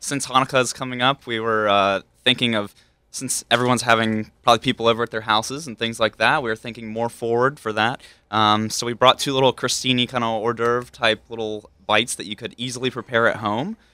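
The recording is dry and close, with no echo. A man with an American accent speaks at a fairly quick pace in a medium pitch, with a bright, sharp tone and monotone, flat intonation. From US South, Hickory, North Carolina. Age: young. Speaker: executive chef. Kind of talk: casual chat. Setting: studio.

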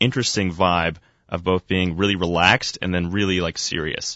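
A man speaks with an American accent at a moderate pace. His pitch is very deep and low. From Florida, Boca Raton. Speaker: college student news anchor. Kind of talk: interview. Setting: radio studio.

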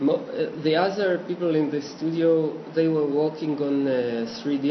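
A man with an Israeli accent speaks at a fairly slow pace. Background noise is noticeable, and room echo is audible. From Israel, Petah Tikva. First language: Hebrew. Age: 40s. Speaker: cartoonist and illustrator. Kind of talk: casual interview. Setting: home studio. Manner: halting.

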